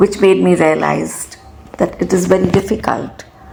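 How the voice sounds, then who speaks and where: At a fairly slow pace, the words come through noticeable background noise. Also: woman. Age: 60s. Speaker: retired teacher. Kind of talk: personal talk.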